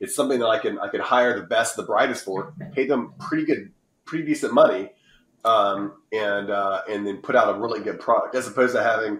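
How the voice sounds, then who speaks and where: A man with an American accent talks at a fairly quick pace. Audible room echo surrounds his voice. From United States. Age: 40s. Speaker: publishing company founder and author; podcast guest. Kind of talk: podcast interview. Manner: animated. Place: home room. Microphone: video call.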